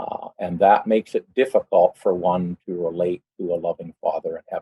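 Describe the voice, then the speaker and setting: A man talks with a western Canadian accent. His pace is moderate. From western Canada (British Columbia). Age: 60s. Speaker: church member giving testimony. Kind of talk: personal testimony. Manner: hesitant, many fillers.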